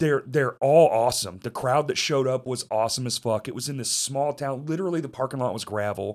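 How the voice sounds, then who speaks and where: On a very clean recording with a silent background, a man with an American accent talks at a fairly quick pace with hardly any pauses, at medium pitch with ordinary pitch variation. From US South (Arkansas). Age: 30s. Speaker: podcast host. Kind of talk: casual chat. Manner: profane, swears constantly; laughs often.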